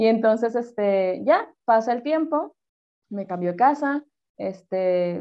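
A woman with a Sinaloan accent. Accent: northern Mexican (Sinaloa) Spanish. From Mexico, Culiacán, Sinaloa. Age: 30s. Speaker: psychologist. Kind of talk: casual interview chat.

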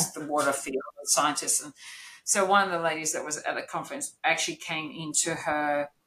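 A woman's voice sits at a very deep, low pitch. She speaks at a fairly quick pace. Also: fairly even intonation, big swings in loudness. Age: 50s. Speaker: neurodiversity consultant and business owner. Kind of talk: interview.

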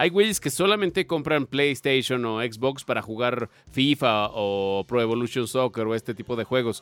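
The speaker has a Mexican accent and ordinary pitch variation. The recording is very clean and dry, close with no echo, over a silent background. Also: man. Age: 30s. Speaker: podcast host. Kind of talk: casual chat.

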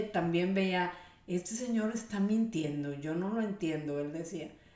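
Against noticeable background noise, a woman with a northern Mexican accent speaks at a moderate pace and medium pitch, with ordinary pitch variation. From Mexico, Monterrey. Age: 50s. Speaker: homemaker, interviewee. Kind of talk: casual interview.

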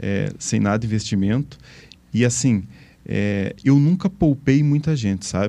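A man with a medium pitch talks at a fairly slow pace with lively intonation. It is a normal speaking voice, heard against a quiet background. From Imbituva, Paraná, southern Brazil. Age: 40s. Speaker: tech company founder and former CEO. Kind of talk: casual interview.

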